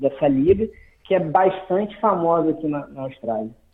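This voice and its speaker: A man at a moderate pace. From Brazil, Macaé, Rio de Janeiro state. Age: 30s. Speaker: barber. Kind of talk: interview. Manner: halting, many repetitions.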